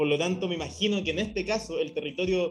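A man with a Chilean accent speaks at a high pitch with ordinary pitch variation. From Chile, Copiapó. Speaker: podcast host. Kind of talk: casual discussion.

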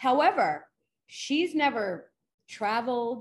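With a New York accent, a woman speaks in very wide pitch swings. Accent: New York American. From New York City. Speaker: forensic psychologist. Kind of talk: interview. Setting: remote call.

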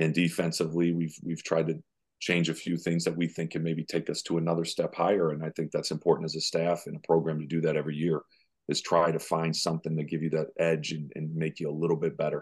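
Against a quiet background, a man races along at a very fast pace in a very deep, low pitch with monotone, flat intonation. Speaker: college basketball head coach. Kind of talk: casual interview.

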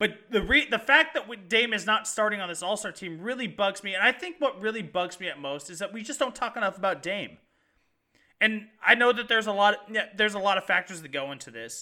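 A man projects his raised voice at a high pitch with a bright, sharp tone, talking fairly quickly with lively intonation and big swings in loudness. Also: very clean recording, silent background. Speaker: sports podcast co-host. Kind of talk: sports talk show chat. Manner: animated, passionate, rapid.

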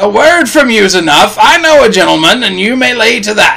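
Using a put-on character voice, a man speaks at a moderate pace with a high pitch, lively intonation, vocal fry and a bright, sharp tone, with audible room echo.

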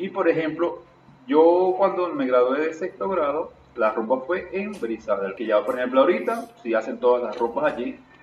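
There is noticeable background noise behind this man. His fairly high voice moves in very wide pitch swings. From eastern Venezuela, Irapa, Sucre. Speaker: podcast co-host, DJ. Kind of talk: casual chat.

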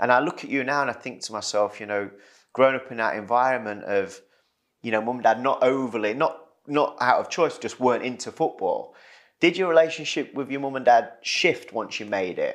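In an East Midlands accent, a man talks at a fairly quick pace with ordinary pitch variation against a quiet background. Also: medium pitch for a man. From Retford, Nottinghamshire, England. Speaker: podcast host, former footballer. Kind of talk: casual chat.

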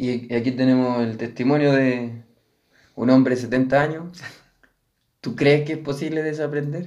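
Fairly slow, fairly even speech in a Chilean accent, broken by long, frequent pauses. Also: man, medium pitch for a man. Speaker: podcast co-host. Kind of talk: casual chat.

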